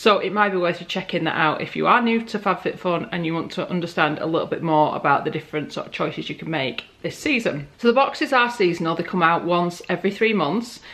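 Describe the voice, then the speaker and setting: Very fast, lively speech from a woman with a fairly low pitch and hardly any pauses, over noticeable background noise. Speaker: beauty and lifestyle vlogger. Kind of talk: unboxing video. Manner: casual, chatty.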